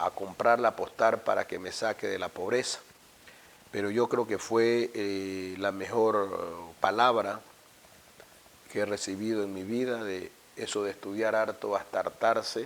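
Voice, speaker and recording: His pitch is fairly low, and his intonation is monotone and flat. The man talks at a fairly slow pace. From Ecuador, Esmeraldas province (Afro-Ecuadorian). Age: 50s. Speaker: university rector. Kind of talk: interview. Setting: office. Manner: reflective, some stammering.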